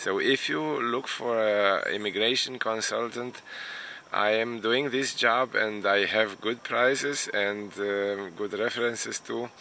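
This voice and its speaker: A man with a Romanian accent talks at a fairly slow pace. His medium-pitched voice has a bright, sharp tone and fairly even intonation. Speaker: immigration consultant and vlogger. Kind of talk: casual vlog monologue. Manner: hesitant, many fillers.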